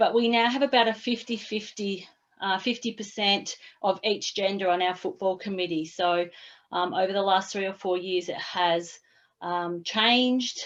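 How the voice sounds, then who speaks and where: Against a quiet background, a woman with an Australian accent talks at a medium pitch with fairly even intonation. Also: moderate pace. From Australia, Lara, Victoria. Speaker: sports club committee member. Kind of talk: self-introduction in online workshop.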